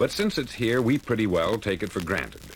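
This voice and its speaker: Very wide pitch swings against noticeable background noise. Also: man. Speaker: radio broadcaster. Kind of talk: motivational speech. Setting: 1950s spoken word record.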